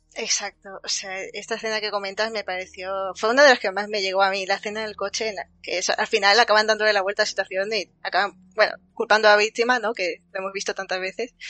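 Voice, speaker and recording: Barely pausing, a woman races at a very fast pace with a medium pitch and monotone, flat intonation. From Andalusia. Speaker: livestream host. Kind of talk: casual chat. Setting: livestream.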